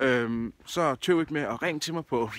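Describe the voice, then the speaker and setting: Medium pitch marks this man's speech. Its variation is ordinary. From Denmark, Odense (Funen). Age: 30s. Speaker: job seeker, event project manager. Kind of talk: self-promotional video appeal. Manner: casual, with frequent filler hesitations.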